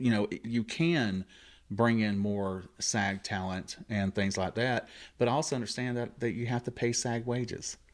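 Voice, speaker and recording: A man with a Southern accent speaks at a fairly slow pace, medium in pitch with ordinary pitch variation. The recording is very clean, against a silent background. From US South, Columbus Georgia. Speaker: actor and radio host. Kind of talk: casual chat.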